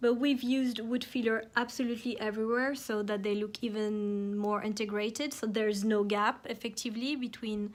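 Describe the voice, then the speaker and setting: A woman with a French accent talks at a moderate pace. Her pitch is fairly high and her intonation monotone and flat. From France. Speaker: home decor YouTuber. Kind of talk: tutorial. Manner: casual, hesitant with fillers.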